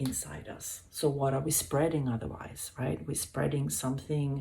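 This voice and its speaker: A woman speaks with a Swedish accent, and the room echo is audible. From Sweden. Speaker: hospital health worker. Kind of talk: wellness talk. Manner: halting.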